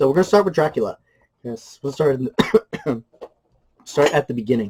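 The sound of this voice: A man's put-on character voice, raspy and hoarse, fairly high for a man, with lively intonation at a fairly quick pace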